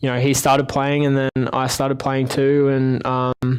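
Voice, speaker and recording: A man's medium-pitched voice with an Australian accent and flat, monotone intonation. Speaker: ice hockey player. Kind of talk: interview. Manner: halting, many fillers.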